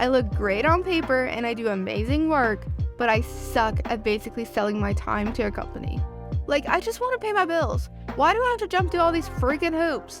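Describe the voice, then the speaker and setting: With music in the background, a woman talks at a fairly quick pace in an American accent. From Southern US. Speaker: art YouTuber. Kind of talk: casual vlog narration.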